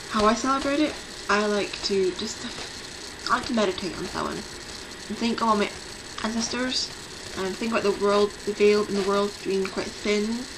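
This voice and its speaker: A woman speaks at a medium pitch and moderate pace with ordinary pitch variation, over noticeable background noise and audible room echo. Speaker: pagan vlogger. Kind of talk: casual video talk.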